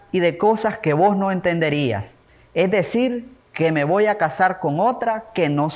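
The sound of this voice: The clip features an unforced reading voice.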